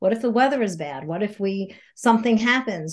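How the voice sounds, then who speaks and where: Against a quiet background, a woman with an American accent speaks in a somewhat breathy, fairly high voice. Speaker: podcast guest, yoga teacher and intuitive life coach. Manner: fast talker.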